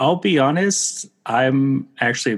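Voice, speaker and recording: With an American accent, a man is speaking. His pace is fairly slow. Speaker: co-host. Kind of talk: casual chat.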